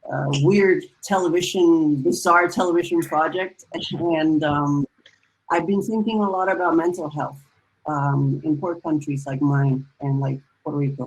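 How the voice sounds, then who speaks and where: With a Spanish accent, the speaker goes at a fairly slow pace with ordinary pitch variation. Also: woman, very deep, low pitch for a woman. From Dominican Republic. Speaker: musician and novelist. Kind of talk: panel discussion. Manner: halting.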